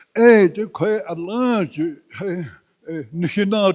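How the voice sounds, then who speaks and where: In a Navajo accent, a man with a high voice speaks at a very slow pace against a quiet background. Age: 80s+. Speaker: elder speaking at a campaign rally. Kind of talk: rally speech. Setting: campaign rally.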